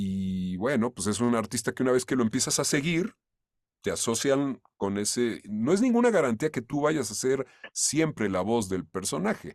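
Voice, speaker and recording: A man with a plain, everyday voice at medium pitch, lively intonation and a moderate pace, in a dry, close sound with no echo on a very clean recording with a silent background. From Mexico. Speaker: voice actor (dubbing). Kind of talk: interview answer.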